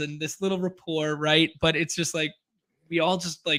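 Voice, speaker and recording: Over a very clean recording with a silent background, a man's fairly high voice carries a bright, sharp tone. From western Canada. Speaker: fantasy football player and streamer. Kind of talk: casual interview chat. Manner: laid back.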